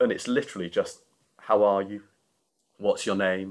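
The recording is very clean with a silent background. A man with a Yorkshire accent talks at a fairly quick pace. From Yorkshire, northern England. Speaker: charity founder and CEO. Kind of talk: casual interview.

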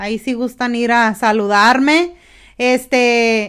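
A high-pitched woman at a fairly slow pace with ordinary pitch variation, in a very clean recording with a silent background. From US, Mexican-American family. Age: 30s. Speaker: substitute teacher. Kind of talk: casual chat.

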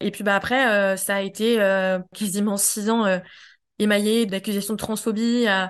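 A woman talks at a fairly slow pace in a medium pitch, her intonation flat and monotone. The background is quiet. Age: 30s. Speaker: feminist activist. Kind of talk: testimony. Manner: halting.

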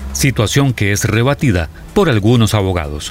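With music in the background, a man speaks at a medium pitch and a moderate pace. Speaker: news presenter. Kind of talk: news reading.

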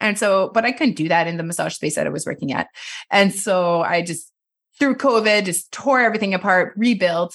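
A woman with a Quebec accent talks at a fairly quick pace and medium pitch, with ordinary pitch variation, against a quiet background. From Quebec, Montreal area. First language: French. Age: 30s. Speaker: massage therapist. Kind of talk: casual chat. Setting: video call.

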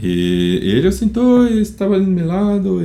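Audible room echo surrounds a man speaking with a Brazilian accent. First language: Portuguese (speaking Spanish). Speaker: type designer. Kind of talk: interview.

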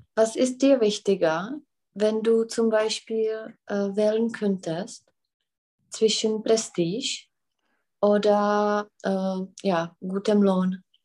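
Against a quiet background, a woman with a Czech accent speaks at a very slow pace with long, frequent pauses, a fairly high pitch and fairly even intonation. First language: Czech (speaking German). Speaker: German tutor. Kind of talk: language lesson.

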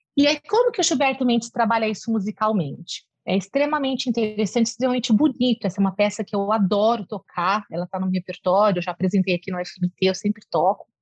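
A woman speaks at a very fast pace with a fairly high, somewhat breathy voice. The sound is dry and close, with no echo. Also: ordinary pitch variation. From interior of São Paulo state, Brazil. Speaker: music professor. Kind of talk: interview.

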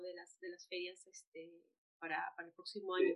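At a moderate pace, a woman uses a plain, everyday voice with fairly even intonation. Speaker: podcast host. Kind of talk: interview.

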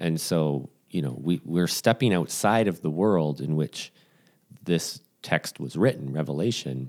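In a very clean recording with a silent background, a man with a very deep, low pitch speaks at a fairly slow pace with lively intonation. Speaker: podcast co-host. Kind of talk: casual chat.

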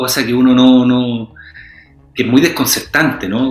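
Against noticeable background noise, a man with a Chilean accent talks at a fairly slow pace and a medium pitch. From Chile, Santiago. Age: 40s. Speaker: actor. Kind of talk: interview.

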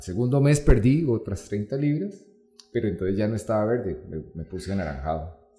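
A man's pitch swings very widely while music plays in the background. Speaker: entrepreneur and amateur ultramarathon runner. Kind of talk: interview.

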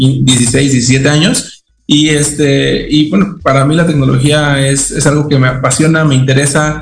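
A man's fairly high voice at a fairly slow pace, with fairly even intonation and very even loudness, audible room echo, and music in the background. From Mexico, Veracruz. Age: 30s. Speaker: technology executive. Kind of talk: radio interview. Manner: halting, many fillers and repetitions.

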